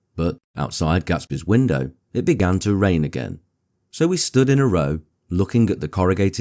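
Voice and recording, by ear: The reading aloud is in a natural voice with lively intonation, set against quiet surroundings.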